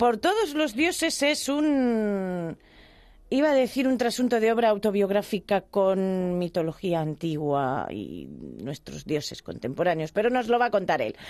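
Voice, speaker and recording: A woman's medium-pitched voice at a fairly slow pace, with very wide pitch swings and music playing in the background. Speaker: radio host. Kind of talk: radio interview.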